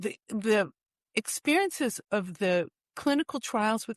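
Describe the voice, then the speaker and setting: A woman with an American accent uses a normal speaking voice at medium pitch, talking at a fairly slow pace with lively intonation. The sound is dry and close with no echo, over a quiet background. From US East Coast, Washington DC. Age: 60s. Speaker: author. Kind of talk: interview. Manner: casual with many fillers.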